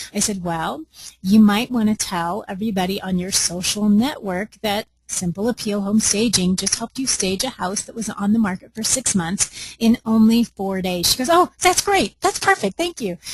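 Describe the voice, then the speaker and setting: The tone is animated and somewhat breathy, with ordinary pitch variation at a moderate pace. The sound is dry and close, with no echo. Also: woman, medium pitch for a woman. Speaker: home staging business trainer. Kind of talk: webinar. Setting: conference call.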